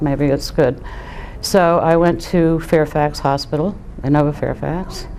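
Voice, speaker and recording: Noticeable background noise sits behind a woman speaking with a very deep, low pitch. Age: 60s. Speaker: COPD patient, lung transplant recipient. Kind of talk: testimony. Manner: halting, with many fillers.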